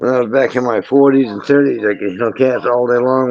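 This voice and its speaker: Talking at a very fast pace, a man keeps his medium pitch under fairly even intonation. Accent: strong Maine. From Maine, New England. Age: 50s. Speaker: lobster fisherman. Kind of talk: casual chat.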